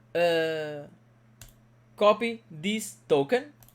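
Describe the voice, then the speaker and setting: A man talks with a Portuguese accent. His pitch swings very widely. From Portugal. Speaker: crypto mining youtuber. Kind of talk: tutorial. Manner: halting, many fillers.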